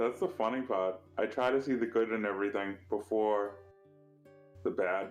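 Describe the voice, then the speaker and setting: With music in the background, a man talks at a moderate pace, his loudness very even and his pitch variation ordinary. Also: medium pitch for a man. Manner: angry-sounding though positive in truth.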